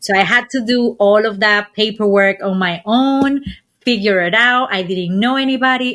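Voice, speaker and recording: With a Dominican accent, a woman talks at a moderate pace in a bright, sharp tone with ordinary pitch variation. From Dominican Republic. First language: Spanish. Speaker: travel community founder. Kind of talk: podcast interview.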